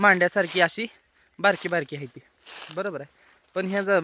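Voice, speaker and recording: Using a raised, projected voice, a man speaks at a high pitch. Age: 20s. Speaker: farmer. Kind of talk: walkthrough video. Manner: casual.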